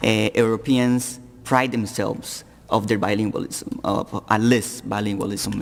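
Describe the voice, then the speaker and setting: Over noticeable background noise, a man talks with a slight Colombian accent. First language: Spanish. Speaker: panelist. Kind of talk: panel discussion. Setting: public forum with audience. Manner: halting, repeats words.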